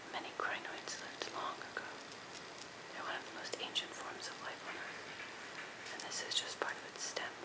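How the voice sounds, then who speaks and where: Soft-spoken and whispering at a moderate pace, the voice sits under loud background noise. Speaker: presenter. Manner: soft ASMR whisper.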